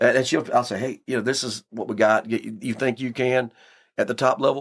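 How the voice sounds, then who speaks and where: On a very clean recording with a silent background, a man speaks at medium pitch with ordinary pitch variation and a fairly quick pace. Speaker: sheriff. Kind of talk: casual chat. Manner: loud; animated.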